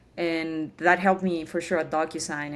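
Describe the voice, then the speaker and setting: A woman's fairly low, monotone, flat voice with a Spanish accent, in a very clean recording with a silent background. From Chile, Santiago. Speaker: tech program manager. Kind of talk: interview.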